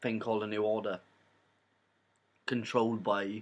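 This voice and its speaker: A man's fairly low voice with a Welsh accent, at a moderate pace against a quiet background. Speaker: YouTuber, film reviewer. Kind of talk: casual vlog review. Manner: rambling, hesitant with fillers.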